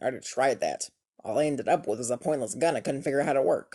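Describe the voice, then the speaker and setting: A man puts on a raspy character voice at a medium pitch. He rattles along at a very fast pace. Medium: cartoon. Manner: weary, sarcastic, gloomy.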